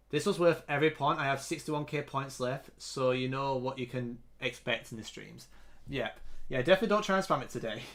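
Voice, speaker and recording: Speaking at a fairly quick pace, a man with a fairly high pitch shows ordinary pitch variation on a very clean recording with a silent background. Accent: northern English. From northern England, Yorkshire near Oldham/Huddersfield. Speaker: GeoGuessr streamer. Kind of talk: casual live stream chat. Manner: halting, many fillers and restarts.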